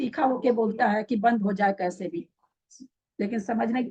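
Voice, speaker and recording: Her voice is fairly high for a woman, yet its tone is dark and mellow. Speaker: religious teacher. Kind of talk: scripture lecture.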